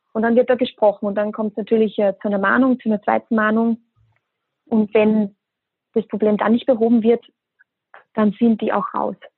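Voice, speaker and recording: A woman speaks at a moderate pace with long, frequent pauses. Her voice is fairly high-pitched and her intonation monotone and flat. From Austria. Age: 20s. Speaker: hospitality brand ambassador. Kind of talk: podcast interview.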